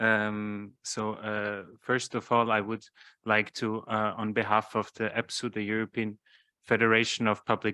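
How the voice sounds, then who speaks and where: A man with a fairly low pitch and a bright, sharp tone sounds dry and close with no echo, on a very clean recording with a silent background. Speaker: trade union policy officer. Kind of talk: conference talk. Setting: conference hall with interpretation headphones. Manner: hesitant, many filler sounds.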